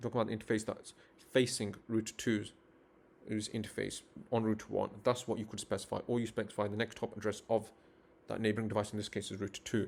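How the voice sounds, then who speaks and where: The delivery comes at a very fast pace with monotone, flat intonation. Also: man, fairly low pitch for a man. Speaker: networking instructor. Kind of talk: live-streamed tutorial. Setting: live stream.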